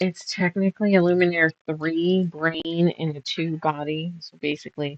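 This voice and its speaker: Soft-spoken speech from a woman at a fairly low pitch and moderate pace, monotone and flat in intonation, with hardly any pauses and big swings in loudness. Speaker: quilter streaming a sew-along. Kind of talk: casual live-stream chat while sewing. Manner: quiet, soft-spoken; chatty, counting stitches aloud.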